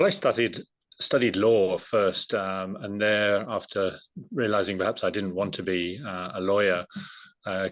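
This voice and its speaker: A man with an English accent, fairly low in pitch, at a fairly slow pace with fairly even intonation, against a quiet background. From England. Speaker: agency director. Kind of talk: interview. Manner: halting, many repetitions.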